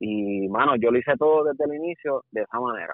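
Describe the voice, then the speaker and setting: A man with a Puerto Rican accent speaks with ordinary pitch variation. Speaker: videographer. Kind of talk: casual chat.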